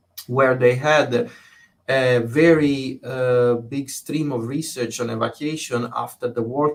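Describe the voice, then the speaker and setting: A man speaks at a fairly slow pace with an Italian accent. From southern Italy (Bari). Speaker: fire safety researcher, professor. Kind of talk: interview. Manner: hesitant, many fillers.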